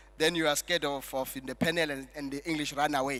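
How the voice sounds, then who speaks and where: With music in the background, the man keeps up a fairly quick pace. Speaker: master of ceremonies. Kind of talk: event MC speech with jokes.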